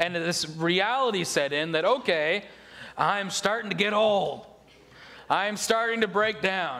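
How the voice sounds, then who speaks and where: At a moderate pace, the voice is raised and projected, with ordinary pitch variation. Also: man. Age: 30s. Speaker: pastor. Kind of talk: sermon.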